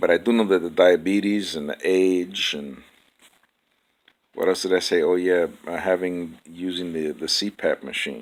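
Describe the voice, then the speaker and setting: A man with a very deep, low pitch, a moderate pace and fairly even intonation. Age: 60s. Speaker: vlogger. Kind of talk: casual monologue. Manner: halting, many fillers and repeats.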